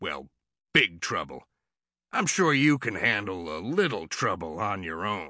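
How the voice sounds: Using a put-on character voice with a bright, sharp tone, the speaker moves at a fairly slow pace with big pitch swings. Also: man, low pitch for a man.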